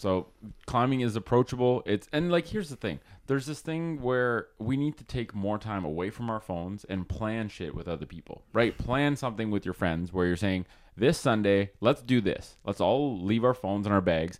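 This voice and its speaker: At a moderate pace, a man speaks at a fairly low pitch in a plain, everyday voice. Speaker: podcast host and physiotherapist. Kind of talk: casual chat. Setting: home recording.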